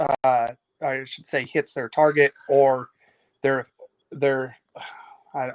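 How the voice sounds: Mumbling in a put-on character voice, a man speaks very slowly at a medium pitch, monotone and flat, with big swings in loudness.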